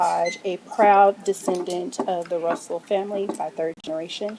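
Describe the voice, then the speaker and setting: A woman with a Texan accent speaks over noticeable background noise. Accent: Texan Southern US. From Texas, Pflugerville area. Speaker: public commenter at council meeting. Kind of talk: public comment. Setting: city council chamber.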